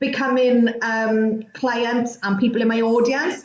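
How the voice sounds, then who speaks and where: This woman's voice sits at a fairly high pitch. Audible room echo can be heard. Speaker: chat show host. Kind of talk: live-streamed casual chat. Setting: live video stream.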